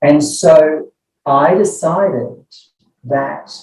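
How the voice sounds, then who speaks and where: The voice sounds somewhat breathy, with ordinary pitch variation. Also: man. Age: 70s. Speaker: clinical psychology professor. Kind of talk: interview.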